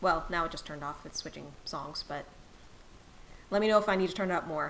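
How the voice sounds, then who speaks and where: A soft-spoken woman talks at a very fast pace in a fairly low pitch, her loudness swinging widely. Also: ordinary pitch variation. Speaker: game streamer. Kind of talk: live gameplay stream chat. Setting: live stream.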